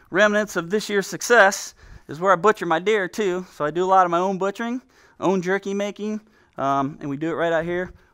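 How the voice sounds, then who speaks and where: The tone is bright and sharp, delivered at a fairly quick pace over a quiet background. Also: man. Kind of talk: casual home tour commentary. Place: garage.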